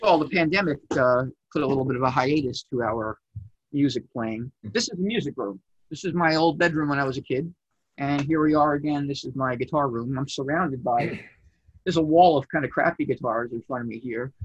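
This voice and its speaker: An ordinary speaking voice from a man with an American accent, fairly high-pitched and fairly quick, with ordinary pitch variation. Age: 40s. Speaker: amp builder, guitarist. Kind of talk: casual chat. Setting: home music room.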